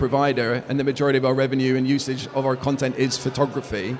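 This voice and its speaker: A man with an English accent over noticeable background noise. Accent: English accent, kept. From UK. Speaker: business executive. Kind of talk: interview. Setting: conference event.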